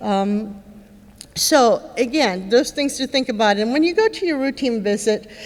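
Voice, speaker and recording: A high-pitched woman at a moderate pace with ordinary pitch variation, against noticeable background noise. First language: Spanish. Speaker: neurologist speaker with Parkinson's. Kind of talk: conference talk. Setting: stage with audience. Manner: conversational, many fillers.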